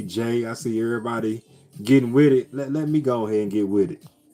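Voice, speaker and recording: A man speaks with music playing in the background. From US Midwest, St. Louis. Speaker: live streamer. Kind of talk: casual chat. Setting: live stream. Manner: animated.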